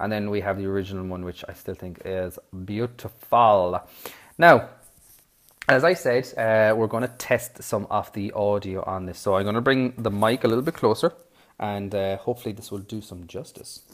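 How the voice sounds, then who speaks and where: Man with an Irish accent, fairly low pitch, ordinary pitch variation, moderate pace and big swings in loudness. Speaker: toy review YouTuber. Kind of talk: product review. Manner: hesitant, many fillers.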